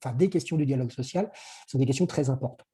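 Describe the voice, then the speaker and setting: A man's dark, mellow voice comes through somewhat breathy, with ordinary pitch variation. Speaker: workplace conditions consultant. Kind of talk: webinar presentation. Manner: fast; halting.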